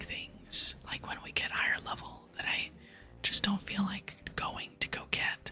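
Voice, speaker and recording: Someone whispers in a relaxed tone at a fairly slow pace while music plays in the background. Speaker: ASMR gaming content creator. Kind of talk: casual talk to camera, gaming commentary. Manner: soft-spoken, relaxed, chatty.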